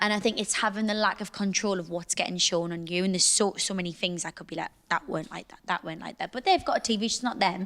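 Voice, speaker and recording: A woman with a Geordie accent talks at a very fast pace. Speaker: reality TV personality. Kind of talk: podcast interview answer.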